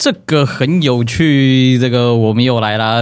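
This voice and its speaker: A man talks in an ordinary speaking voice at a moderate pace with ordinary pitch variation. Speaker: podcast host, life creativity coach. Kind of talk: casual interview chat.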